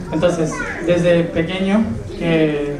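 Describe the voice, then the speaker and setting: A man's fairly high voice with a Rioplatense accent, audible room echo and noticeable background noise. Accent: Argentine Spanish (rioplatense). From Argentina, Venado Tuerto. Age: 20s. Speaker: spiritual speaker. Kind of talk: public talk.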